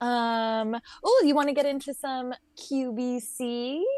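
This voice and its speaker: Loud and high-pitched, a woman speaks with an American accent. Her pace is very slow. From California, Santa Monica. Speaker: podcast co-host and game streamer. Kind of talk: casual chat. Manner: animated.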